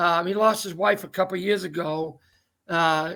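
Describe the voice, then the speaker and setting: A man with a Maine accent speaks in a high pitch with a bright, sharp tone. His intonation stays fairly even. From Maine, Downeast coast. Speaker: talk show host. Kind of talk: casual interview chat. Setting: video call.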